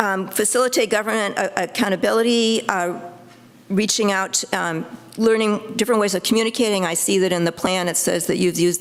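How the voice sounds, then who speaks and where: The speaker moves at a fairly quick pace with ordinary pitch variation. Noticeable background noise sits behind the voice. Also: woman. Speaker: public commenter at city council meeting. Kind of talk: public comment. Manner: fast; halting, many fillers.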